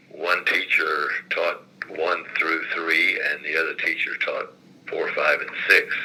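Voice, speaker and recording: Against noticeable background noise, a man with an American accent speaks at a very slow pace. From southern Indiana, Lawrence County. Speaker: retired state legislator. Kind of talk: oral history interview. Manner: halting, many fillers.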